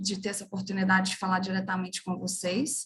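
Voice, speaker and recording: Breathiness comes through somewhat in a woman's voice. She keeps a moderate pace. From Brazil, interior of Minas Gerais. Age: 30s. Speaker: international relations professional, career website co-founder. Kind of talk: webinar career talk.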